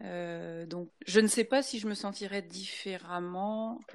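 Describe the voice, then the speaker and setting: At a fairly slow pace, a woman with a normal speaking voice talks with ordinary pitch variation. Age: 50s. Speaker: former pastor's wife. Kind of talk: panel discussion.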